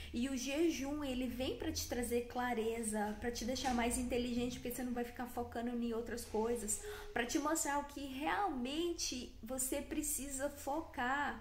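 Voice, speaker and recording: A woman's high-pitched voice at a fairly slow pace with hardly any pauses, ordinary pitch variation, audible room echo, and noticeable background noise. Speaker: wellness content creator. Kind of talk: motivational talk to camera. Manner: animated.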